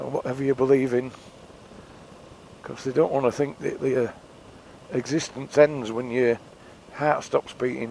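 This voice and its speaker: Speaking at a moderate pace, a man with an English accent keeps a monotone, flat intonation. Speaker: motorcycle vlogger. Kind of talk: casual vlog monologue. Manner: rambling, hesitant.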